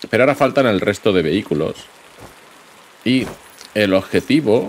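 Over noticeable background noise, a man speaks with a Spanish accent and ordinary pitch variation. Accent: Peninsular Spanish. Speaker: gaming YouTuber. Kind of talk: let's play commentary. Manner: animated.

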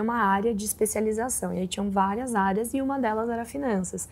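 Here is a woman with an unremarkable speaking voice and a fairly high pitch. She talks at a fairly quick pace with fairly even intonation. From interior of São Paulo state, Brazil. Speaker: investment fund director; guest. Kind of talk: interview. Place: studio.

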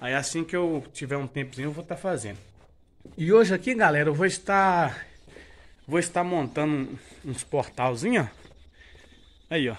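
A man talks at a moderate pace with a fairly high pitch and lively intonation. Long pauses come frequently. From rural Brazil, born and raised on this farm. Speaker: vlogger, builder of his farm house; vlogger. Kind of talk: casual vlog, home building tour. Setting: outdoors on a farm. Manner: informal, filler-heavy. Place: open country. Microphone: phone near.

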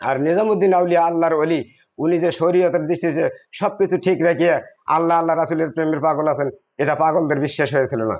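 A man's high-pitched voice holds very even loudness and fairly even intonation. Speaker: Sufi devotee speaking at a shrine gathering. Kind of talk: religious talk to a gathering. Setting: shrine gathering with audience.

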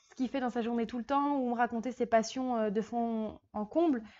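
Fairly quick delivery from a woman with a high pitch. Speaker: vlogger host. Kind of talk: casual vlog chat. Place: home room. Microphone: lapel.

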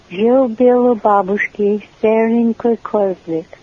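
Over noticeable background noise, a woman talks very slowly in a fairly high pitch with fairly even intonation. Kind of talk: poetry reading.

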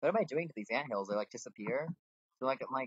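Nothing is heard behind the voice. The delivery is plain reading aloud.

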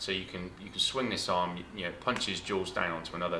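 A man at a very fast pace, with noticeable background noise. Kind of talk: casual vlog chat. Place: workshop.

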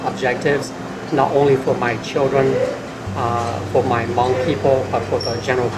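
Loud background noise runs under a man talking at a moderate pace. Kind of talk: interview answer. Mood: warm, reflective. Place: cafe.

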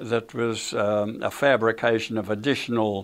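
In an Australian accent, a man talks at a fairly slow pace with a fairly low pitch. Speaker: war veteran. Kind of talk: interview answer. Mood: somber reflective. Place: studio.

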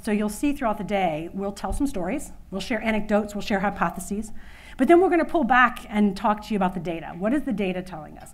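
Speaking in an American accent, a woman goes at a very fast pace with lively intonation. Her loudness swings widely. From Louisiana, USA. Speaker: conference keynote speaker, women's workplace initiative leader; conference keynote speaker. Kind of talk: conference keynote speech. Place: hall.

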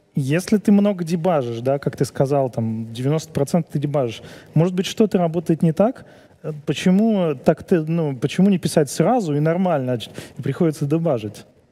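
A man talks in a fairly high register, keeping a moderate pace. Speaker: event host moderating Q&A. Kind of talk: casual banter and Q&A moderation. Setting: stage with audience. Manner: joking, playful. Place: studio. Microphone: headset.

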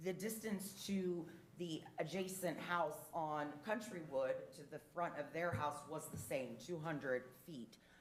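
Audible room echo surrounds a woman whose fairly low voice carries lively intonation. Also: fairly slow pace. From Portuguese heritage. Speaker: public commenter at council meeting. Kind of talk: public comment. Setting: city council meeting. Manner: loud.

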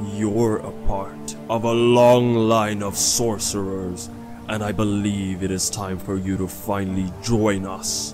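Fairly slow speech over loud music in the background. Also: man, fairly low pitch for a man. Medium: machinima. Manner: solemn, instructive, encouraging.

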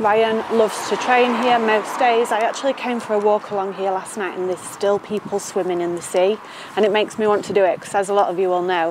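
Speech comes at a very fast pace with fairly even intonation. The sound is dry with no echo, over noticeable background noise. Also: woman. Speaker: lifestyle vlogger. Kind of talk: casual vlog chat. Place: street.

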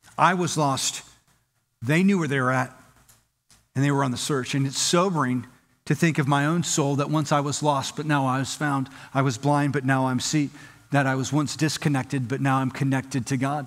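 Here is a man with an ordinary speaking voice and a fairly high pitch. He keeps a moderate pace and fairly even intonation. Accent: American. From Southern California. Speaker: pastor. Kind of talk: sermon. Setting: church. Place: church. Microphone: headset.

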